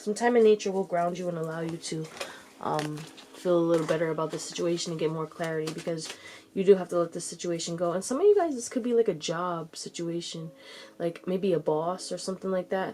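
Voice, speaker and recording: Amid noticeable background noise, a woman talks at a very fast pace with fairly even intonation. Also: fairly low pitch for a woman. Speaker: tarot reader. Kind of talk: tarot reading. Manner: casual.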